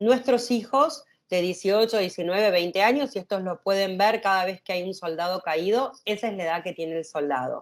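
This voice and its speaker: Lively intonation from a woman at a medium pitch, moderate in pace, with hardly any pauses. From Argentina. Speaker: activist. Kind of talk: interview conversation. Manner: hesitant.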